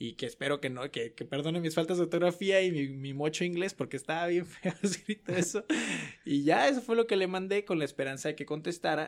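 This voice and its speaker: A man's high-pitched voice moves along at a fairly quick pace. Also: ordinary pitch variation. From Mexico, Guadalajara. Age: 20s. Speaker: student sharing personal story. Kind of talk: casual interview, storytelling.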